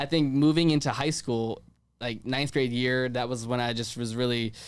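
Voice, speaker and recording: A man speaks in an ordinary speaking voice with an American accent, at a medium pitch and with fairly even intonation. The recording is very clean, with a silent background. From Virginia, US. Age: 20s. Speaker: podcast host and events producer. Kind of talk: casual interview. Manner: fast, filler-heavy ('like').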